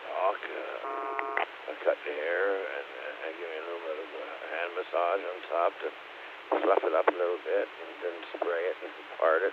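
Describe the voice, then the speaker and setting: With noticeable background noise, a man talks at a moderate pace, his loudness swinging widely. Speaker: amateur radio operator. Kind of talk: radio net check-in. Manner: halting.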